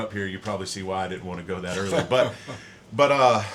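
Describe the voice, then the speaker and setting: Very fast speech from a man comes through clear background noise. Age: 40s. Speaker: podcast host, former Navy colleague. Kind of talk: casual interview.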